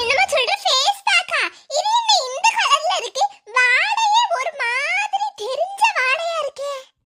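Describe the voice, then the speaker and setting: A cartoonish character voice of a woman, extremely high-pitched, with lively intonation and a very slow pace. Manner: chatty, blunt.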